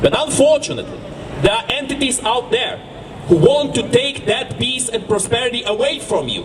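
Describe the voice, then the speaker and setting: Noticeable background noise behind a man's extremely high voice, with ordinary pitch variation, a moderate pace and a slight Eastern European accent. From Ukraine. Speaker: activist. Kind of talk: speech at a protest rally. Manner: impassioned, rhetorical.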